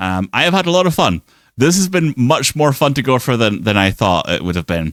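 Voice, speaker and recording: A man speaks with a British accent, his pitch swinging very widely. The recording is very clean with a silent background, and the sound is dry and close with no echo. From Britain. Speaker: VTuber streamer. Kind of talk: live gameplay stream commentary. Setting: live stream. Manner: animated.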